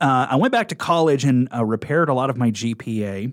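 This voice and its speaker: A man with a Midwestern US accent on a very clean recording with a silent background. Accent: US Midwest. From Nebraska. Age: 40s. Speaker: radio program director. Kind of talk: interview. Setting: studio.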